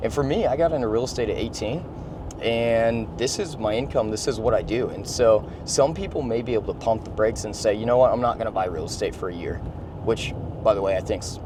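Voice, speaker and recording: A man talks at a fairly quick pace and medium pitch. Noticeable background noise and audible room echo surround his voice. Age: 20s. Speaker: real estate investor. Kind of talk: casual vlog talk. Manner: casual, repetitive.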